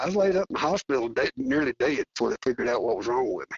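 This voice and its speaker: A man talks with a Southern US accent. His pace is very fast. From Arkansas. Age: 60s. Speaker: coonhound hunter. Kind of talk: casual interview chat.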